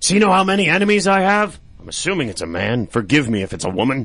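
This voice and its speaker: A man does a put-on character voice, raspy and fairly high in pitch. He talks very fast, with very wide pitch swings. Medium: comedy sketch. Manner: hesitant, weary.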